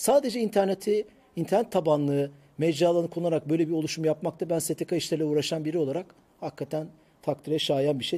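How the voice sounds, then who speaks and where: Very fast pace from a man with a fairly high pitch, a dark, mellow tone, and ordinary pitch variation on a very clean recording with a silent background. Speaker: tech show host. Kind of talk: casual chat. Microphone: new microphone.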